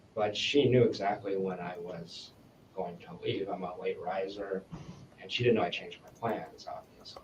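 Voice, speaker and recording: Noticeable background noise under a man's voice of ordinary pitch variation. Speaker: interviewee in police statement. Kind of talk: police interview. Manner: fast.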